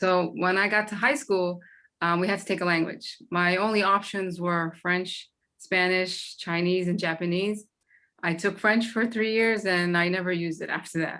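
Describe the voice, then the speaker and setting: A woman with a Boston accent has a bright, sharp tone at medium pitch, on a very clean recording with a silent background. She keeps a moderate pace and fairly even intonation. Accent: Boston American English. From Boston, US. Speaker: former student. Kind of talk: community meeting testimony.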